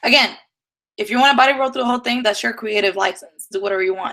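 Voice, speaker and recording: A woman's fairly high voice with a slight Dominican accent. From Dominican Republic. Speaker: dance teacher. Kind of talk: live-streamed lecture. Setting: live stream.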